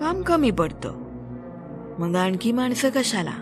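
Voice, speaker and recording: A woman talks in a fairly high voice while music plays behind her. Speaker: storyteller, podcast host. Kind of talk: audio story narration, horror storytelling podcast.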